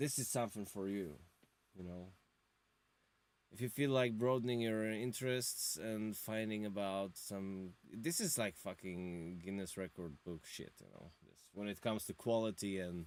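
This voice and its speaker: A man with a non-native accent speaks at a moderate pace in a fairly low pitch with big swings in loudness, on a very clean recording with a silent background. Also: ordinary pitch variation. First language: not English. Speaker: music reviewer, drummer and guitarist. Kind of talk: live-stream album review. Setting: home studio live stream. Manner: animated; halting.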